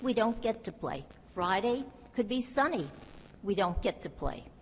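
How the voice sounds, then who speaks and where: Speaking at a moderate pace, a woman uses a fairly high pitch. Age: 80s+. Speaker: resident speaking at public comment. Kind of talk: public comment at council meeting.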